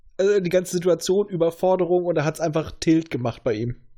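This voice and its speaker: His voice sits high for a male speaker, with pitch moving in an ordinary way. The man's delivery comes at a moderate speed. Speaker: podcast host. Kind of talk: casual chat.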